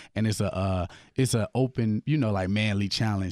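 A man with an unremarkable speaking voice talks at a fairly quick pace and a fairly low pitch, his intonation fairly even, the sound dry and close with no echo over a quiet background. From Milwaukee, Wisconsin (born in Peoria, Illinois). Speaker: gospel hip hop artist. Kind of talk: casual radio interview, testimony.

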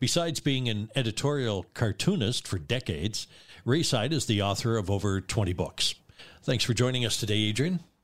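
On a very clean recording with a silent background, a man with an ordinary speaking voice uses lively intonation at a medium pitch. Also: fairly quick pace, very even loudness. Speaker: radio host. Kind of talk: interview.

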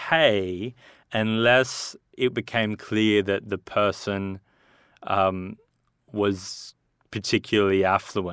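A man talks with a fairly low pitch. The sound is dry and close with no echo, and the recording is very clean against a silent background. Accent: Australian. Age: 30s. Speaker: entrepreneur and movie producer. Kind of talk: casual chat. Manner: halting.

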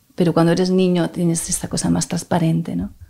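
A woman's dark, mellow voice, fairly low in pitch, at a fairly quick pace. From Spain, Barcelona (Catalonia). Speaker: violinist. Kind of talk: interview conversation.

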